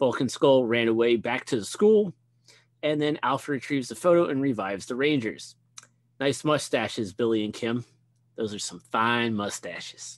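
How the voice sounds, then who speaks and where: A man's medium-pitched, ordinary speaking voice, moderate in pace, with ordinary pitch variation. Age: 30s. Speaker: podcast co-host. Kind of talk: casual chat.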